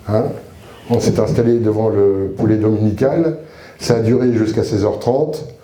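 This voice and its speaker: In a room with audible echo and noticeable background noise, a man talks at a moderate pace with a medium pitch and ordinary pitch variation. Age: 60s. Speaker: retired soldier and chaplain giving testimony. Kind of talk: testimony. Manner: casual, humorous storytelling with hesitations.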